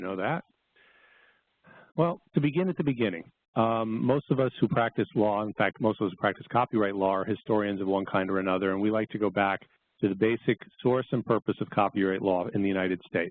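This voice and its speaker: A man with a New York accent, fairly low pitch, ordinary pitch variation and a very fast pace. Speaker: copyright lawyer presenter. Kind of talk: webinar lecture. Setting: online webinar.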